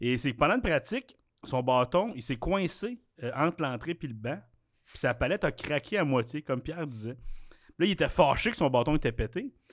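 Intonation is lively as a man talks in a Quebec accent. His pace is moderate, and the background is quiet. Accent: Québécois French. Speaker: podcast co-host. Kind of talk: quiz reading; casual chat. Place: studio. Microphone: studio mic.

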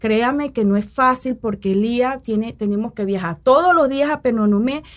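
In a quiet background, a woman talks at a moderate pace with a fairly high pitch and ordinary pitch variation. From Panama, Coclé province; Panama. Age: 40s. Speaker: mayoral candidate and educator; candidate, educator. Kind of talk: interview. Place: studio. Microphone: studio mic.

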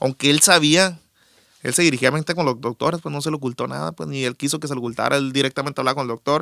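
A man with a fairly high, bright, sharp voice talks at a very fast pace. The sound is dry and close, with no echo. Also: ordinary pitch variation. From Culiacán, Sinaloa, Mexico. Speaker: musician, bassist and backing singer. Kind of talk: casual interview chat.

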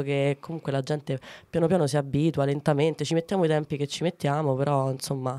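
A woman with a very deep, low pitch and a dark, mellow tone at a very fast pace. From Ciociaria, Lazio (Arpino, Frosinone); Lazio. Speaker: comedian; comedian guest. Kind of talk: casual interview. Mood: playful, amused. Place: studio. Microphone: studio mic.

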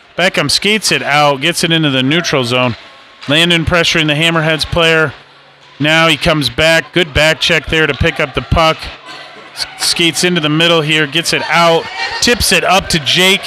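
Over music in the background, a man with a fairly high pitch speaks at a moderate pace, his loudness very even and his intonation fairly even. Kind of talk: live sports commentary.

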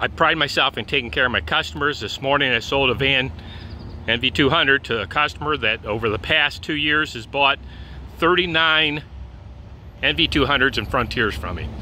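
A man with vocal fry, ordinary pitch variation and a moderate pace, dry sound with no echo and light background noise. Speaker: van salesman. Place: street. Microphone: phone near.

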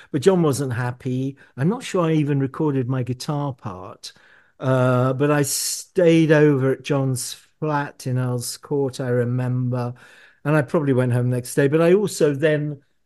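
A man speaks at a fairly slow pace with a medium pitch and ordinary pitch variation. His tone is dark and mellow, and the background is quiet. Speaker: musician. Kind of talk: interview.

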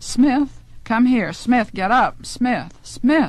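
Vocal fry runs through a woman's voice, heard in a dry sound with no echo. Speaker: author reading her own story. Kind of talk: audiobook narration of a fantasy story from a spoken word LP. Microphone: old recording.

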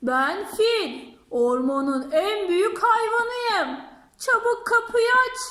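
A put-on character voice, extremely high in pitch, speaks at a very slow pace. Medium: read story.

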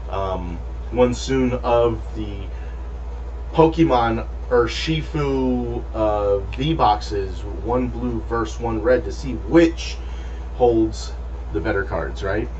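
This man's voice sits very deep and low, with fairly even intonation. He talks at a very slow pace with long, frequent pauses over light background noise. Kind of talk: casual vlog chat.

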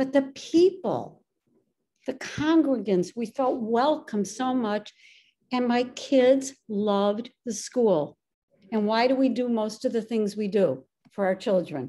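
A woman with an American accent, fairly high pitch, lively intonation, a dark, mellow tone and a very slow pace. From Illinois. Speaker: synagogue administrator and community volunteer; interviewee. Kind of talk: interview. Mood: warm, reflective. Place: home room. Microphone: video call.

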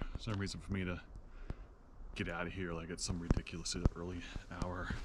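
A man at a fairly quick pace, in a dry sound with no echo, with noticeable background noise. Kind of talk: casual vlog chat. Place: open country. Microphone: camera far.

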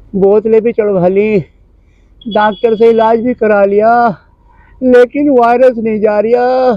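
The words come at a very slow pace with fairly even intonation. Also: man, high pitch for a man, quiet background, dry sound with no echo. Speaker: comic sick villager character. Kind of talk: acted comedy skit dialogue. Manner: weak, complaining sick man's voice. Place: open country.

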